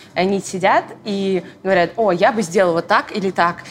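Noticeable background noise sits behind a woman's voice. Her intonation is fairly even. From Moscow region, Russia. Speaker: church media team leader. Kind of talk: casual chat. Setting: coffee shop.

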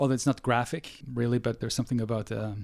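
Here a man speaks very fast in a Norwegian accent. His intonation is fairly even. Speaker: film studies professor. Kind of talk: interview. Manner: halting.

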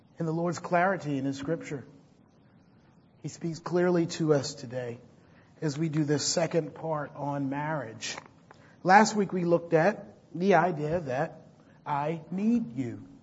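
With a fairly high pitch and ordinary pitch variation, a man speaks at a fairly slow pace with long, frequent pauses, and audible room echo surrounds his voice. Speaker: pastor. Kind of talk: sermon.

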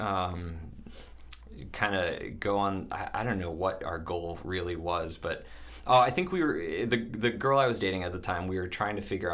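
Audible room echo surrounds a man's very deep, low voice as he speaks with lively intonation. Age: 30s. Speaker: bakery or restaurant owner. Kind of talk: casual chat. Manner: halting.

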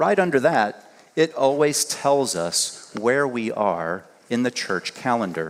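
Against noticeable background noise, a man at medium pitch speaks at a fairly slow pace with very wide pitch swings. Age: 50s. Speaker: guest preacher and university teacher. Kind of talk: sermon. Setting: church service.

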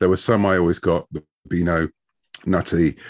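With a British accent, a man speaks at a fairly quick pace in a very deep, low pitch, the sound dry and close with no echo over a quiet background. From United Kingdom. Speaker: comic book writer. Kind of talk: casual interview chat.

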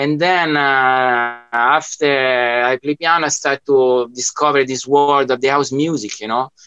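A man speaks in an Italian accent at a fairly slow pace. He hardly pauses and keeps his intonation fairly even. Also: medium pitch for a man. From Italy. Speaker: music producer and DJ. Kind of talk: casual interview chat. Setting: video call from studio.

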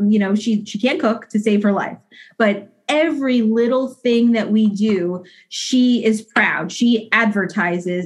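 Her pitch fairly high and varying in an ordinary way, a woman speaks in a somewhat breathy voice. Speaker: mother, guest. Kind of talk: casual conversation. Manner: halting, repeats words.

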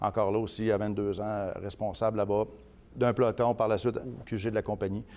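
Over a silent background in a very clean recording, a man speaks in a monotone, flat delivery with a fairly low pitch and a dark, mellow tone. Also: moderate pace. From Quebec City region, Quebec. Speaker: politician. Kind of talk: interview.

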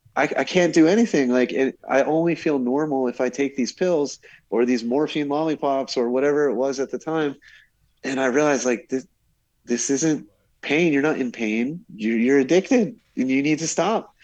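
A man speaks at a moderate pace in a fairly high voice, with ordinary pitch variation over a quiet background. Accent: New Jersey. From New Jersey, US. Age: 40s. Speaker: scientific glassblower. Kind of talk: storytelling in casual chat. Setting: remote call from Brazil.

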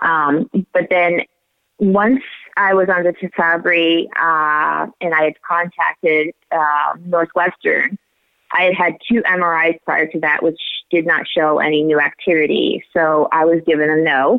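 A woman with an American accent talks at a fairly slow pace in a plain, everyday voice. Her pitch is fairly low, her intonation fairly even and her loudness very even. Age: 40s. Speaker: multiple sclerosis patient. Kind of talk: interview. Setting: phone call.

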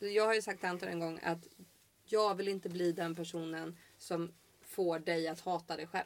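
A woman speaks in a fairly low voice at a moderate pace. Her intonation stays monotone and flat. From Sweden, Halland. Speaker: podcaster. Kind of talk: casual chat. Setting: outdoors on a patio.

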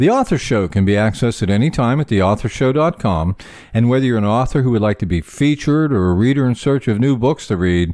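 Over a quiet background, a man with an unremarkable speaking voice talks at a fairly quick pace in a medium pitch, with lively intonation and very even loudness. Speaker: podcast host. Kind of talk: interview.

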